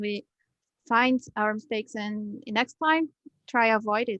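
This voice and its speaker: A woman with a non-native accent speaks at a fairly high pitch. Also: dry, close sound with no echo. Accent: foreign. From Brazil. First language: Portuguese. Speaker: English learner. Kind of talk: interview. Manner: halting.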